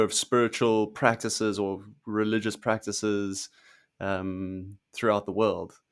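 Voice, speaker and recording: Over a silent background in a very clean recording, a man speaks fairly slowly in a fairly low, monotone voice with flat intonation. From South Africa. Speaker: podcast host. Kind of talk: casual interview chat.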